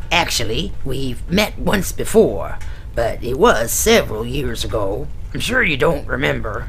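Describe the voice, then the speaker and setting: Delivered at a moderate pace, this is a put-on character voice. Clear background noise can be heard. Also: man. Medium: read story. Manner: polite, slightly fussy.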